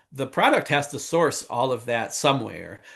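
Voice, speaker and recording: Against a quiet background, a man talks at a moderate pace in an ordinary speaking voice, with medium pitch and fairly even intonation. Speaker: conference speaker on technical documentation. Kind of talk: webinar talk.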